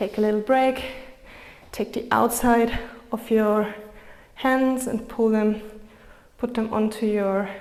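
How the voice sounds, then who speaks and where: Someone with a non-native accent speaks in a calm tone at a fairly slow pace, with fairly even intonation over noticeable background noise. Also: woman. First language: not English. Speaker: yoga instructor. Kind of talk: guided yoga class. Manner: calm, encouraging.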